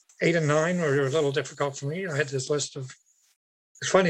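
The delivery moves at a very fast pace with fairly even intonation. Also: man. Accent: Canadian Maritime. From Canada, Nova Scotia. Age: 70s. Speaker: recovering alcoholic speaker. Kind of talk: recovery meeting testimony.

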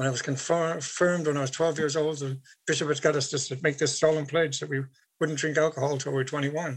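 A man's fairly high voice with a Canadian Maritime accent, flat and monotone, at a fairly quick pace. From Canada, Nova Scotia. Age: 70s. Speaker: recovering alcoholic speaker. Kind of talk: recovery meeting testimony.

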